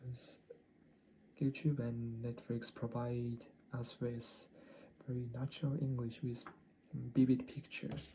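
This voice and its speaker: Long, frequent pauses break up the speech, delivered in a Japanese accent. The pace is fairly slow. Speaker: English learner vlogger. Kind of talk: language-learning video diary. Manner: halting, many self-corrections.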